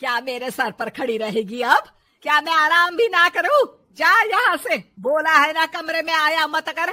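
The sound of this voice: A woman performs a cartoonish character voice, high-pitched with a bright, sharp tone. Her intonation is lively and her pace fairly slow.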